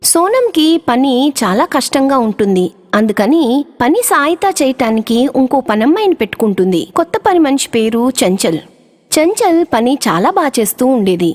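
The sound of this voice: A woman speaks at a moderate pace in a high voice with big pitch swings, her tone slightly mellow and the sound dry and close with no echo.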